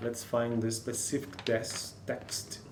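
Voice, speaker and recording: Speaking very slowly with a Brazilian Portuguese accent, a man at medium pitch is heard through noticeable background noise and audible room echo. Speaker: linguistics student and English learner. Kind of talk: reading aloud with commentary. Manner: halting.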